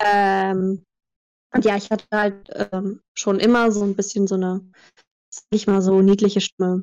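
A woman speaks at a fairly slow pace in a medium pitch, her intonation flat and monotone, with long, frequent pauses. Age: 20s. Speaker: voice actress. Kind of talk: interview.

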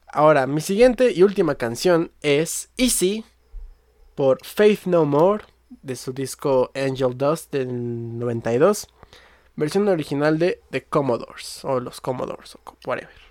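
A man's fairly high voice with a Mexico City accent, lively intonation and a very slow pace. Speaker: music podcast host. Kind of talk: casual chat.

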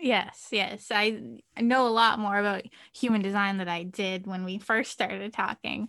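A woman with a normal speaking voice, medium in pitch, at a moderate pace. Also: fairly even intonation. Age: 20s. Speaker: virtual assistant, small business owner. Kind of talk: casual chat.

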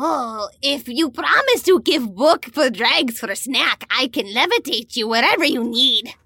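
A woman puts on a character voice, high in pitch. She barely pauses at all. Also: moderate pace. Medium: actual play. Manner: broken third-person speech; odd, food-obsessed.

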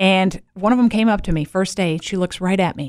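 A woman speaks with a plain, everyday voice of medium pitch. Her pace is moderate and her intonation lively. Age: 40s. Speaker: podcast host. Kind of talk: casual chat.

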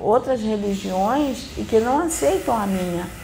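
Speaking very slowly at a fairly high pitch, a woman is heard with audible room echo. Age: 60s. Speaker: spiritist medium. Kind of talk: spiritual teaching.

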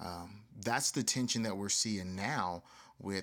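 This man has an ordinary speaking voice with an American accent. He speaks at a moderate pace in a fairly low pitch with fairly even intonation. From US South. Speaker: podcast host. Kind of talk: solo podcast monologue.

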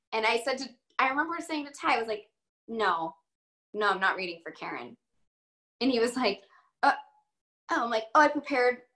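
A woman's high-pitched voice with lively intonation, a bright, sharp tone, and an American accent. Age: 30s. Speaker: actress. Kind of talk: casual interview chat.

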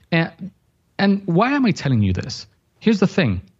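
A man with a Dominican accent speaks at a moderate pace in a high pitch, using very wide pitch swings. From Dominican Republic. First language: Spanish. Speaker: graphic designer and online business teacher. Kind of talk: casual interview conversation. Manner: animated.

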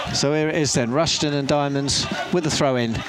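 A fairly high-pitched man at a fairly quick pace amid noticeable background noise. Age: 60s. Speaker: football radio commentator. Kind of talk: live football play-by-play commentary on local club radio, calling passes and throw-ins. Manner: brisk running commentary with frequent filler 'uh' hesitations; animated, partisan excitement.

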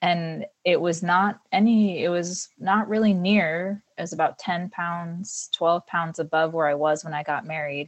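Fairly slow with hardly any pauses, an unremarkable speaking voice carries fairly even intonation. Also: woman, fairly low pitch for a woman. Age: 40s. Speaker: mother of three, longtime fitness client. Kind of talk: interview conversation.

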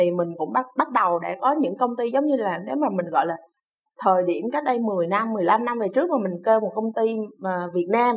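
A woman talks in an ordinary speaking voice at a fairly high pitch. Her intonation is lively and her pace fairly quick. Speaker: VFX lighting team leader. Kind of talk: interview.

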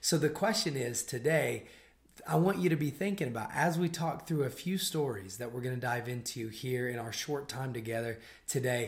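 At a moderate pace, a man talks in a somewhat breathy, medium-pitched voice with lively intonation. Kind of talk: casual faith discussion.

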